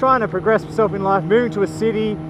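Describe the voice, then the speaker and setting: The speaker has an Australian accent. Noticeable background noise runs behind the voice. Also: man. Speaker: motorcycle vlogger. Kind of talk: casual vlog. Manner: loud.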